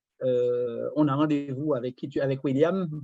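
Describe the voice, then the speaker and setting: Over music in the background, a man with a fairly high pitch speaks at a fairly slow pace, the sound dry and close with no echo. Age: 60s. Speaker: retired property investor. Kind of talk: casual chat. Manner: halting.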